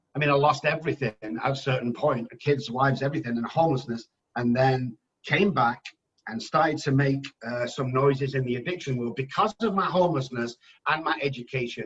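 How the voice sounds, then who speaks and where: An English-accented man's voice with ordinary pitch variation. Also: medium pitch for a man, fairly quick pace. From England. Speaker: addiction specialist. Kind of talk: podcast interview. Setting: phone call. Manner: animated.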